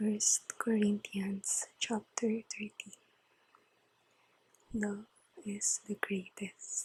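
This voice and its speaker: Soft-spoken and somewhat breathy, a woman talks at a medium pitch in a calm, monotone, flat delivery. She goes very slowly with long, frequent pauses, in a dry, close sound with no echo. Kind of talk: ASMR Bible reading and devotion. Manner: soft-spoken, calm.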